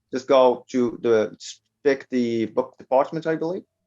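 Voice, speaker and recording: With ordinary pitch variation and a medium pitch, a man talks with a non-native accent. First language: not English. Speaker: online publishing entrepreneur. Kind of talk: interview. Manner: halting.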